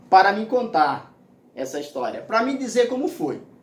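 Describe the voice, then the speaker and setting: Amid noticeable background noise and audible room echo, a man speaks at an extremely high pitch with lively intonation. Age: 60s. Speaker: pastor. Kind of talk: sermon.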